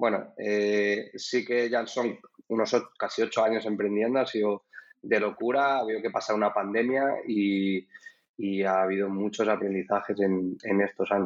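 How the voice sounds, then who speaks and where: This man speaks at a moderate pace in a fairly low pitch. His intonation is monotone and flat, and his loudness stays very even. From Spain, Extremadura (Cáceres). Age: 20s. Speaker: entrepreneur. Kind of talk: interview.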